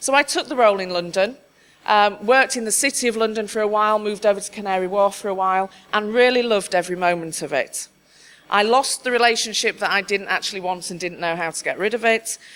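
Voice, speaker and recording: A woman with a Yorkshire accent talks at a very fast pace. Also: medium pitch for a woman, ordinary pitch variation. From Yorkshire, northern England. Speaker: conference speaker, diversity adviser. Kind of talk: conference talk.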